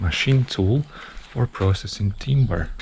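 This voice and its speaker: A man speaks at a fairly slow pace. His voice is somewhat breathy, with lively intonation. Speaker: travel vlogger. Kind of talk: casual travel vlog.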